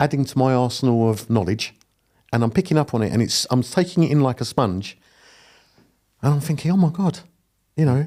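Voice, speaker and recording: Speaking with a Cockney accent, a man with a medium pitch and a dark, mellow tone talks at a fairly quick pace with lively intonation and very even loudness, broken by long, frequent pauses. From East London. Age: 50s. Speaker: property investor. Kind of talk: podcast interview. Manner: animated.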